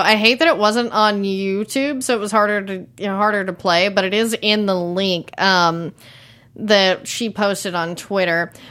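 A woman speaks at a medium pitch with an American accent. Her pace is moderate. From Texas (Tyler, East Texas). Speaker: TV after-show podcast host. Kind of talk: casual chat. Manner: animated.

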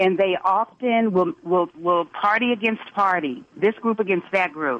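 A woman with an American accent speaks at a moderate pace, her pitch medium and her intonation lively. She has an unremarkable speaking voice. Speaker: radio caller. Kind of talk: call-in opinion. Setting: phone call.

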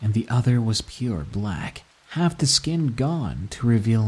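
This recording is plain reading aloud.

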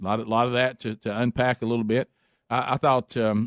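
Speaking with an Alabama accent at medium pitch, a man moves at a fairly quick pace against a quiet background. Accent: Southern US (Alabama). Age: 50s. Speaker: radio host. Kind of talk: casual chat. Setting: studio.

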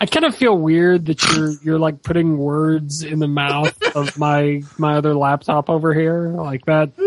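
The delivery is fairly slow yet has hardly any pauses. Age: 30s. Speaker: podcast co-host. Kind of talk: casual chat.

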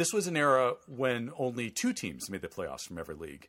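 A man with an American accent shows vocal fry and very wide pitch swings. The recording is very clean, with a silent background. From Chicago suburbs, Illinois. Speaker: comedian and baseball podcast host. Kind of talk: casual chat.

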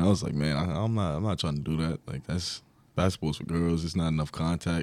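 The speaker has a New York accent and fairly even intonation. The recording is very clean with a silent background. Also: man. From New York, Long Island. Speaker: college basketball player. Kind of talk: interview.

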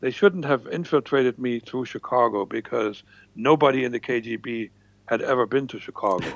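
A man's medium-pitched voice with a German accent, moderate pace and ordinary pitch variation. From East Germany. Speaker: former spy. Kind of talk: interview storytelling.

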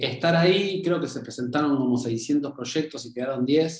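Ordinary pitch variation and a fairly slow pace from a normal speaking voice. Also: man. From Argentina. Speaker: film producer. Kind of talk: interview.

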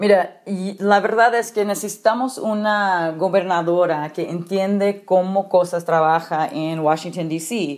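Over a very clean recording with a silent background, a woman talks at a fairly slow pace with hardly any pauses, a medium pitch and ordinary pitch variation. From California Central Valley. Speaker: politician, gubernatorial candidate. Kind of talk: interview. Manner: halting.

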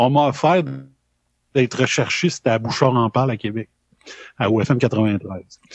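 Here a man speaks very slowly. The rise and fall of his pitch is ordinary. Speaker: former radio host. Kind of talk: live podcast chat.

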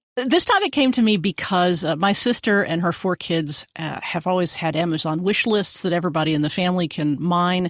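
On a very clean recording with a silent background, a woman with an ordinary speaking voice talks at a fairly quick pace and fairly low pitch. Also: ordinary pitch variation, hardly any pauses. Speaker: radio producer and reporter. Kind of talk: casual chat.

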